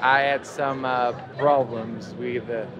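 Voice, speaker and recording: Noticeable background noise and audible room echo accompany a man speaking at medium pitch and a fairly slow pace. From Portugal. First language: Portuguese. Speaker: singer-songwriter busker. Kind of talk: interview. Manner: halting.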